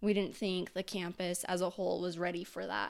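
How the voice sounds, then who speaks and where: A woman speaks at a medium pitch. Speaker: university student. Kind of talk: casual chat.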